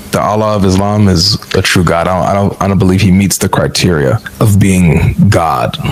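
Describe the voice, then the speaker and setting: A man with a very deep, low pitch and ordinary pitch variation, at very even loudness against noticeable background noise. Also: hardly any pauses. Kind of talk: heated debate. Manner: fast.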